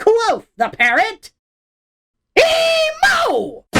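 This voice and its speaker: A put-on character voice at an extremely high pitch swings very widely up and down. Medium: dub. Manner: repetitive, squawking.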